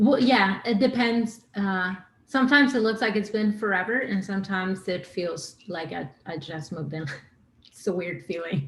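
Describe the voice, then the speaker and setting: The speaker talks at a moderate pace with an Argentine accent. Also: woman, medium pitch for a woman, lively intonation, big swings in loudness. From Argentina. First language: Spanish. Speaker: singer-songwriter. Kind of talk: podcast interview. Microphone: too quiet.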